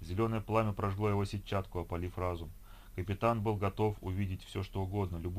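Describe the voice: It is plain reading aloud with fairly even intonation.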